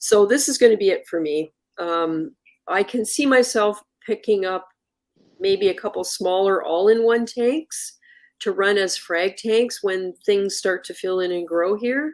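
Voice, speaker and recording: An ordinary speaking voice from a woman, medium-pitched, at a fairly slow pace with ordinary pitch variation. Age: 60s. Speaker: reef aquarium livestream host. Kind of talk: casual live stream chat. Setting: live video stream studio.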